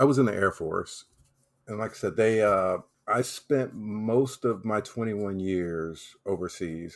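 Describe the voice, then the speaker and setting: A man with fairly low pitch talks at a fairly slow pace in an unremarkable speaking voice. The recording is very clean, with a silent background. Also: ordinary pitch variation. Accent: American. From US South, South Carolina. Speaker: travel website founder, Air Force veteran. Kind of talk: interview.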